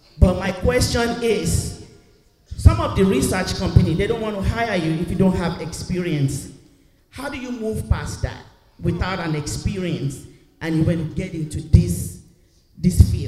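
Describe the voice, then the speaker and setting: A man speaks at a fairly slow pace in a high voice, his intonation lively and his loudness swinging widely, with noticeable background noise behind him. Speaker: audience member, job seeker. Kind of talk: audience question. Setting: church.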